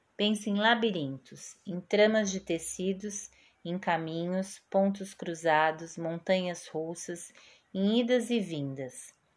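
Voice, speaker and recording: A woman's calm, soothing tone at a very slow pace, with ordinary pitch variation. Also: medium pitch for a woman. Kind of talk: poetry reading aloud. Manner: calm, slow, soothing and reflective.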